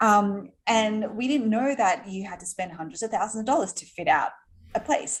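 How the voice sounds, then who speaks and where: Her intonation is lively and somewhat breathy. She is a woman with an Australian accent. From Australia, Sydney. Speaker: entrepreneur. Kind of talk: interview.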